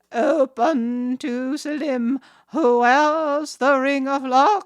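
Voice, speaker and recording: A woman's high-pitched put-on character voice, very slow in pace, with fairly even intonation. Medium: read story.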